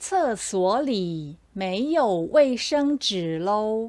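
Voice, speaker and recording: Speaking at a very slow pace, a woman with a Taiwanese accent has a fairly high pitch and very wide pitch swings. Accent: Taiwanese Mandarin. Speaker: Mandarin teacher; commercial narrator. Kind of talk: language lesson example sentences. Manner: slow, clear.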